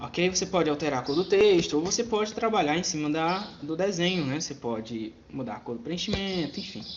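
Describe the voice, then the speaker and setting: There is noticeable background noise behind this man. His high voice moves at a fairly quick pace, with very wide pitch swings. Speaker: computer teacher. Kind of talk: tutorial. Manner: fast.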